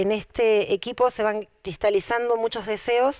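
A woman speaks over a quiet background. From Argentina, Buenos Aires Province. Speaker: local politician and teacher; candidate. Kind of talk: campaign statement. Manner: frequent filler hesitations. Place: hall. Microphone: handheld.

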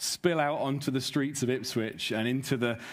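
Here a man speaks at a moderate pace. The background is quiet. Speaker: preacher welcoming a conference. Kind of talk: sermon. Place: stage. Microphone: headset.

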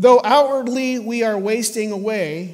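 A man at a very slow pace with lively intonation. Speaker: pastor. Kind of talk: scripture reading in sermon. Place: church.

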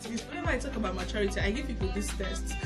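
A woman talks while clear music is heard in the background. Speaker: relationship vlogger. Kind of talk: casual teaching talk. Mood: cheerful, laughing at times. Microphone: phone near.

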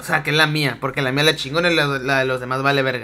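With a Mexican accent, a man with a fairly high pitch talks at a fairly quick pace in an animated tone. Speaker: gaming streamer. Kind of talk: live gameplay commentary.

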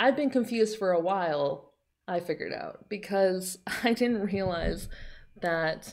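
A woman talks at a fairly slow pace with lively intonation. The background is quiet. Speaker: anime reaction YouTuber. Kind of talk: casual vlog chat. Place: home room.

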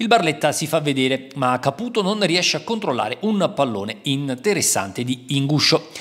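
At a moderate pace, a man talks in a plain, everyday voice with fairly high pitch and lively intonation. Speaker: football match commentator. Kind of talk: sports highlights voice-over, recapping the match in scripted commentary. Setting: voice-over on match video. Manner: brisk, fluent, upbeat play-by-play pace; formal, matter-of-fact, reporter-like tone.

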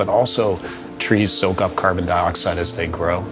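With clear music in the background, a man speaks at a moderate pace in a very deep, low voice with ordinary pitch variation. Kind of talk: interview answer. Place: office.

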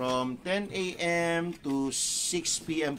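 The voice shows ordinary pitch variation against light background noise. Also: man. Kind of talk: casual live-stream product talk. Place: shop. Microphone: studio mic.

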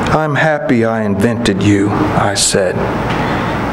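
Over loud background noise, a man speaks with ordinary pitch variation. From Kentucky. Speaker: poet. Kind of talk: poetry reading. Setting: stage with audience. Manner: measured, unhurried, warmly conversational between poems; wry, gently humorous delivery with chuckles, dropping into a storyteller's cadence. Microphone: podium.

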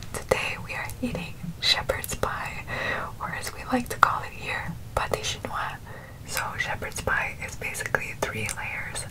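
A woman whispers. Her pace is fairly slow. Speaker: food vlogger. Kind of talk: casual vlog chat. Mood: cheerful, relaxed. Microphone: earbuds.

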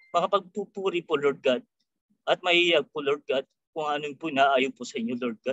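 In a dry recording with no echo and a quiet background, a man talks at a moderate pace with ordinary pitch variation. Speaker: prayer leader. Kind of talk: prayer. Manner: halting. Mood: reverent, earnest. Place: home room. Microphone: webcam.

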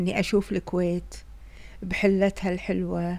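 A woman speaks with a Kuwaiti accent. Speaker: vlogger. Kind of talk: casual vlog narration. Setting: in a car. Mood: relaxed, cheerful. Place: car. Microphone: phone near.

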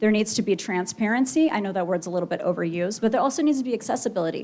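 With an American accent, a woman has an unremarkable speaking voice at a fairly high pitch, lively intonation, and a quiet background. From Oregon, Klamath Falls. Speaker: political candidate. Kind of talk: campaign speech at candidate forum. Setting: stage with audience, auditorium.

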